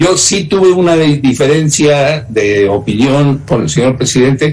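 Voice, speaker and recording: A man with a fairly high pitch speaks at a fairly slow pace and very even loudness, with ordinary pitch variation, audible room echo and noticeable background noise. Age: 80s+. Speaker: former government minister. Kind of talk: interview. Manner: halting.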